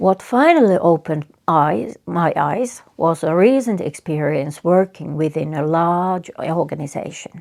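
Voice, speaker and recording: A woman with a Finnish accent speaks at a fairly slow pace, with hardly any pauses and lively intonation. Her voice is fairly low, and the recording is very clean with a silent background. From Finland. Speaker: psychotherapist. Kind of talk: reflective talk. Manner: halting.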